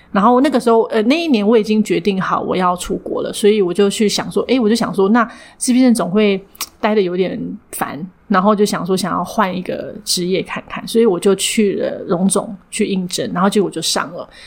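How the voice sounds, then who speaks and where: The speaker moves at a fairly quick pace with ordinary pitch variation, and noticeable background noise is present. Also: woman, medium pitch for a woman. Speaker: counseling psychologist and clinic director. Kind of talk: interview. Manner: frequent hearty laughter.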